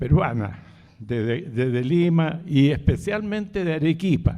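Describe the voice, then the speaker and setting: In a Chilean accent, a man with a dark, mellow tone speaks at a very slow pace. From Chile (Santiago). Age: 80s+. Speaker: author. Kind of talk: book presentation talk. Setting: live event with audience. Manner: halting, with fillers and repetitions.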